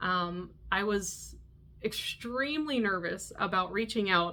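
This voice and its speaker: A woman with a Canadian accent, a bright, sharp tone and lively intonation. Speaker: knitting podcaster. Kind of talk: casual vlog monologue. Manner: animated.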